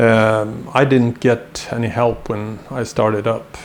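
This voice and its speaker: Over noticeable background noise, a man with a Swedish accent speaks very slowly at a medium pitch with fairly even intonation. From Sweden. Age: 60s. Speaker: violin maker. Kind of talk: tutorial. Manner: halting, many fillers.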